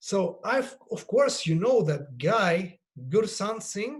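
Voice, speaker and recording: This is a man's voice. He speaks with a Russian accent. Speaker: yoga teacher. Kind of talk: panel discussion. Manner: halting.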